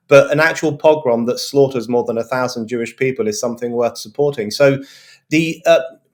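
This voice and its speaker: A man with a British accent talks at a fairly quick pace, his fairly high pitch showing ordinary variation. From England. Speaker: journalist and author. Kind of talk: panel discussion. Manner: fluent.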